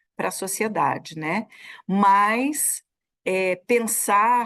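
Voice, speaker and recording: Her intonation stays fairly even at a medium pitch. Behind the woman, the background is quiet. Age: 60s. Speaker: federal labor prosecutor. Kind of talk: interview. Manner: halting, many repetitions.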